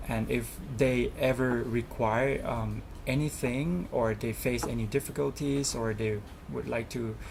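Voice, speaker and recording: Speaking with a Thai accent, a man talks at a fairly slow pace. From Thailand. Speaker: student representative. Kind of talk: interview. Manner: hesitant, many fillers.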